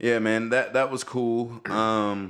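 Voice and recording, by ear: A man's fairly low, fairly bright voice at a slow pace, with fairly even intonation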